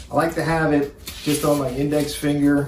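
A man speaks over light background noise, with audible room echo around him. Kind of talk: tutorial. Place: home room. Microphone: camera far.

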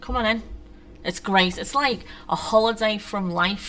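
At a moderate pace, a woman talks, her pitch rising and falling in an ordinary way. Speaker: poet. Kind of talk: poetry reading. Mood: wry, bitter humour. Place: stage.

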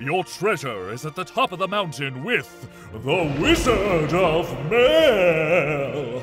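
A man does a cartoonish character voice at a fairly high pitch, fairly bright in tone with big pitch swings. He goes at a slow pace over faint music in the background.

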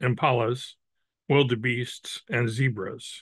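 At a very slow pace, a man speaks with fairly even intonation, the sound dry with no echo against a quiet background. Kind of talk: story reading aloud. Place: home room. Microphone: video call.

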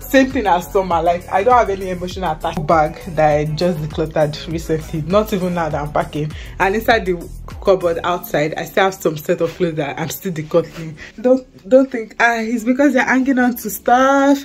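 A woman speaks at a fairly quick pace in a fairly low voice, with faint music in the background. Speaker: student vlogger. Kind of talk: casual vlog chat. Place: home room. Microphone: phone near.

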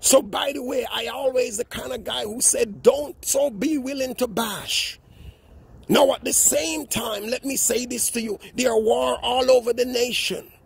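Husky and rough-edged with vocal fry, a man's extremely high pitch moves at a fairly slow pace with fairly even intonation.

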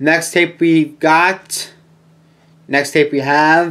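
A man is speaking here. His pace is very slow. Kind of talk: collection showcase commentary. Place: home room. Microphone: webcam.

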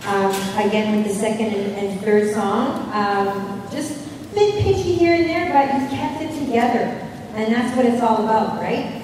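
A woman talks at a moderate pace. Strong room echo surrounds her, with noticeable background noise. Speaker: competition judge. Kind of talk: judge feedback. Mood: warm, encouraging. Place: hall.

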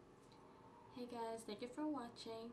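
There is clear background noise behind the woman who is talking. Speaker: beauty vlogger. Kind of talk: makeup tutorial talk to camera. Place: home room. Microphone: camera far.

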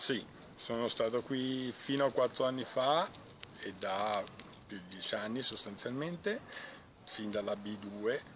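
A man speaks at a very slow pace with ordinary pitch variation and long, frequent pauses. Noticeable background noise sits behind him. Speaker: volleyball club fitness trainer. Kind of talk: interview answer. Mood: relaxed, smiling. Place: garden.

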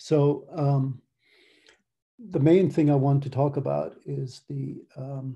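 A man with an American accent speaks at a very slow pace, pausing long and often. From Ireland. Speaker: academic researcher; conference presenter. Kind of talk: conference presentation. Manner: many fillers, hesitant. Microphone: video call.

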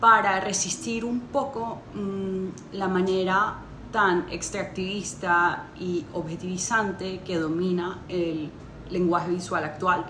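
The speech keeps a fairly even intonation over noticeable background noise. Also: woman. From Colombia. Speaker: interdisciplinary artist and conceptual photographer. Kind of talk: juror's statement to camera. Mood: warm, earnest. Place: home room. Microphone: phone near.

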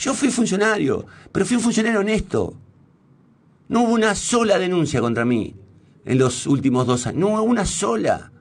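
A man's high-pitched voice with very wide pitch swings and very even loudness, moderate pace, and long, frequent pauses. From Argentina, Santa Fe. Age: 50s. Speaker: radio host and journalist; radio host, journalist. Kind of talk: on-air monologue. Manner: hesitant, many fillers and restarts. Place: studio. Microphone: studio mic.

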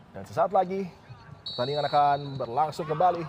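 The tone is animated and excited. Noticeable background noise can be heard. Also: man. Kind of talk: football commentary. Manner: animated, excited, rising with each chance.

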